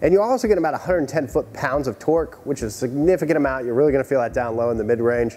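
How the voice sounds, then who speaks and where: There is music in the background as a man speaks with ordinary pitch variation. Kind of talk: commentary. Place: garage.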